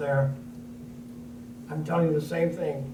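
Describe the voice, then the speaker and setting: With audible room echo and noticeable background noise, the voice shows ordinary pitch variation. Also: man. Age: 80s+. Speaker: war veteran. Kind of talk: panel discussion.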